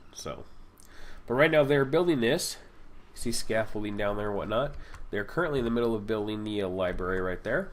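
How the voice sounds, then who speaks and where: A man's medium-pitched voice with lively intonation and a fairly quick pace, broken by long, frequent pauses, with audible room echo. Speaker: gaming YouTuber. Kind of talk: gameplay commentary. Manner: fast.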